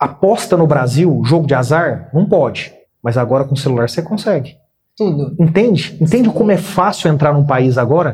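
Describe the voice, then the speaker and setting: The intonation is lively and the voice somewhat breathy. Loudness stays very even throughout. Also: man, fairly high pitch for a man, moderate pace. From Brazil, Minas Gerais (Uberaba). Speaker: business executive and author. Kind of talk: interview.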